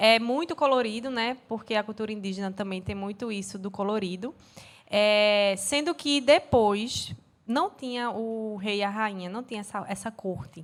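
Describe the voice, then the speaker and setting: A woman with a Recife accent and a fairly high pitch talks at a moderate pace in a very clean recording with a silent background. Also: ordinary pitch variation. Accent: Pernambuco (Recife) Brazilian Portuguese. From Pernambuco, Brazil. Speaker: dancer and cultural producer. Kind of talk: casual chat.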